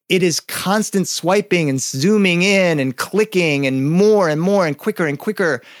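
The sound is dry and close with no echo, the speech moving at a moderate pace with ordinary pitch variation. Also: man. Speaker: professional storyteller and educator. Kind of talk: storytelling to an audience, a children's tale told live. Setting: podcast interview. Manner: animated, playful, with dramatic voice changes and sound effects; stretches out words and pauses for drama.

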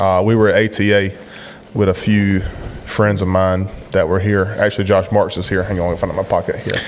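A man with an Eastern North Carolina accent, fairly low-pitched and monotone with flat intonation, at a fairly quick pace over noticeable background noise. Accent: Eastern North Carolina Southern. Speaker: podcast host. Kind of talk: casual podcast chat. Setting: hunt camp, recorded on location.

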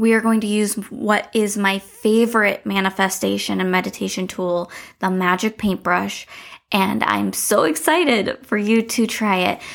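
The recording is very clean, with a silent background. A woman with an unremarkable speaking voice talks at a medium pitch with fairly even intonation. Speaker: meditation guide podcast host. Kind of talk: guided meditation. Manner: slow, calm, soothing, with long pauses; gentle, instructive, warm.

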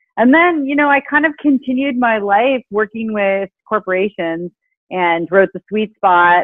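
With an ordinary speaking voice, a woman talks at a moderate pace with lively intonation. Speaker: author and happiness expert. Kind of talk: interview conversation.

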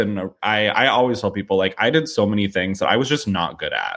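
Man with an American accent and an unremarkable speaking voice, medium pitch, ordinary pitch variation and moderate pace. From US Midwest, St. Louis, Missouri. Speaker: talent agent. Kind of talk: interview.

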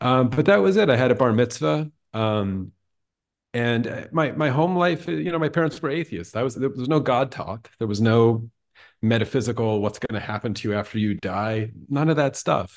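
A man with an American accent and an ordinary speaking voice, medium in pitch, lively in intonation, at a moderate pace over a quiet background. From US Northeast (Pennsylvania). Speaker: writer and documentary filmmaker. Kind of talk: casual chat.

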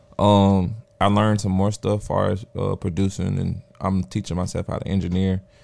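This man's voice sits fairly low, moving at a moderate pace with a flat, monotone delivery. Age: 30s. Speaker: DJ, producer and entrepreneur. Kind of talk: casual chat.

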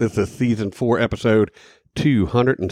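On a very clean recording with a silent background, an unremarkable speaking voice proceeds at a moderate pace. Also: man. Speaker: podcast co-host. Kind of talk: casual chat.

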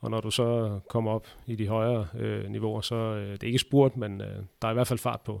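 Fairly even in intonation, a man talks at a medium pitch in a normal speaking voice, captured in a very clean recording with a silent background. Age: 30s. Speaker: handball referee. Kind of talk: interview. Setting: basement under sports hall.

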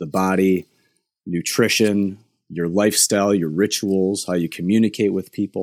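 In a dry, close recording with no echo, a man with an unremarkable speaking voice talks at a moderate pace. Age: 30s. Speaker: nutritionist and esports performance coach. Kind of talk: interview.

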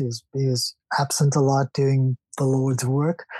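The voice is somewhat breathy with a dark, mellow tone, moving at a fairly slow pace in a dry, close sound with no echo. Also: man. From South Africa. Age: 60s. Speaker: painter and architect. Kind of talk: interview.

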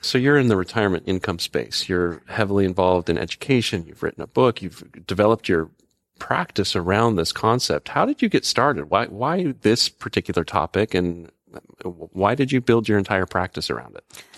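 A man's plain, everyday voice, fairly low in pitch, at a fairly quick pace with lively intonation and a quiet background. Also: dry, close sound with no echo. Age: 40s. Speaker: podcast co-host. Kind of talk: casual chat.

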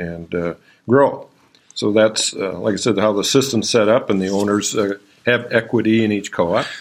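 A man speaks with an Upper Midwestern accent at a moderate pace. His pitch is fairly low, with ordinary variation. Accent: Upper Midwestern American. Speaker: farm co-op general manager. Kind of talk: interview.

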